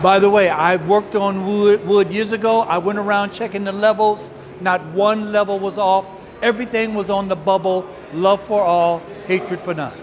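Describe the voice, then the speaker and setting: The speech comes at a moderate pace in monotone, flat intonation over noticeable background noise. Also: man, high pitch for a man. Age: 70s. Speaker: community elder volunteer. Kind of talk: interview soundbite.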